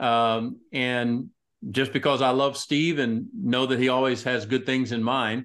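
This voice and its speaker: A man with a Texan accent talks at a fairly slow pace. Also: quiet background. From Texas, Tyler (East Texas). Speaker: pastor and ministry executive. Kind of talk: casual interview.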